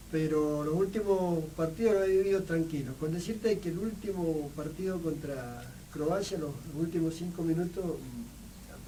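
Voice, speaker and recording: Through audible room echo and noticeable background noise, a man talks at a fairly high pitch with fairly even intonation. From Argentina, Mendoza (Medrano). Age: 60s. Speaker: writer and photographer. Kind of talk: radio interview. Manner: halting, many fillers.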